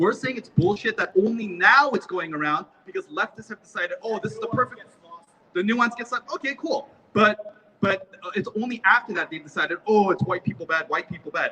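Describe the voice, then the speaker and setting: Over noticeable background noise, a man with a high voice talks at a fairly quick pace in an animated, raised, projected voice. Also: lively intonation. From South Korea-born, raised in US. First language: Korean. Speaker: rally speaker. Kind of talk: public speech at a rally.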